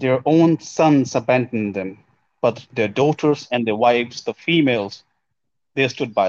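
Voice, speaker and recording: Speaking at a moderate pace, a man with a medium pitch and ordinary pitch variation has an unremarkable speaking voice. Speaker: guest discussing Sikh community issues. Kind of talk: casual discussion podcast.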